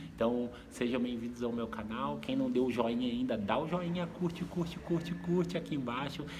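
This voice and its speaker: A soft-spoken man at medium pitch, with lively intonation, a moderate pace, hardly any pauses, noticeable background noise and audible room echo. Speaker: vlogger. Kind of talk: vlog monologue. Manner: halting.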